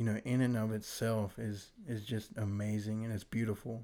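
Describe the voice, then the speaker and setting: A man with an American accent at a fairly slow pace on a very clean recording with a silent background. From Virginia. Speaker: college student church volunteer. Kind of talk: testimony.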